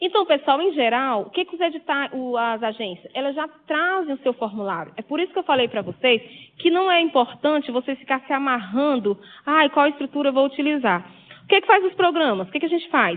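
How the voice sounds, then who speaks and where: This woman's high voice moves at a fairly quick clip. It rises and falls across a very wide range. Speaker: university lecturer. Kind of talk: lecture.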